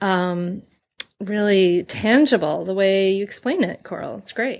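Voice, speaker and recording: With a Rhode Island accent, a woman speaks at a fairly slow pace in a medium pitch, her pitch varying in an ordinary way while her loudness swings widely. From Rhode Island (Bristol). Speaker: podcast host. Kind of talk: interview. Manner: enthusiastic.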